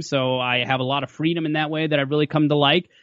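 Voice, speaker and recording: With an Upper Midwest accent, a man with fairly high pitch speaks with fairly even intonation. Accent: Upper Midwest American. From western Minnesota. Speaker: sportscaster. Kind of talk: casual chat. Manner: halting, many fillers.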